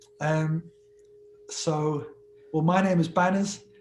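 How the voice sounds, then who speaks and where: A man with a high voice talks fairly slowly amid noticeable background noise. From England, Liverpool. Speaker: musician. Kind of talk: casual interview chat.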